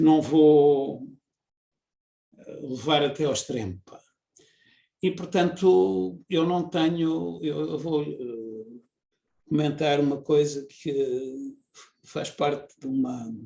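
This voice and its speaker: Very slowly and with long, frequent pauses, a man speaks in a dark, mellow tone at a fairly high pitch, his intonation lively and his loudness swinging widely. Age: 70s. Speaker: engineer and researcher. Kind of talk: interview. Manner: halting, many fillers.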